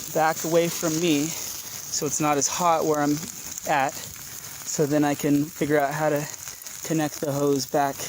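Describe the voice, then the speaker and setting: Noticeable noise fills the background while the words come fairly slowly. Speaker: citizen journalist. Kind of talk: live on-scene narration. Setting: outdoors.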